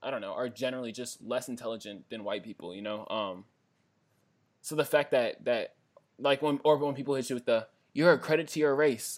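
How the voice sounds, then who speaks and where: Speaking fast-ish at a fairly quick pace, a man uses a normal speaking voice at medium pitch with ordinary pitch variation and big swings in loudness. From Washington DC area. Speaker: podcast co-host. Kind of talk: casual chat.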